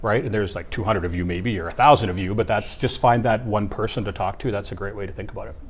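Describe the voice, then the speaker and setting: With a Canadian accent, a man speaks at a very fast pace with hardly any pauses, his fairly low, somewhat breathy voice showing ordinary pitch variation amid audible room echo. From Ontario, Canada. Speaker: keynote speaker, former teacher. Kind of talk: interview. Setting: at a student leadership conference.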